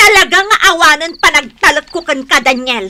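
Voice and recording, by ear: At a moderate pace, a woman puts on a character voice with a high pitch, a bright, sharp tone and lively intonation.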